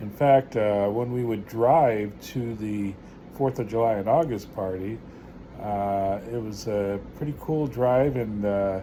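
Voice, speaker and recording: Speaking at a fairly slow pace, a man with a medium pitch and a dark, mellow tone is heard with audible room echo. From New York. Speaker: vlogger. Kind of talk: casual storytelling. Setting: at home. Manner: halting, many filler words.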